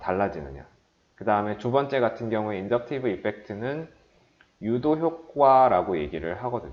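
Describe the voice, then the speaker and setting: Someone speaks at a moderate pace with lively intonation, with audible room echo. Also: man. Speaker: chemistry lecturer. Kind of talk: lecture.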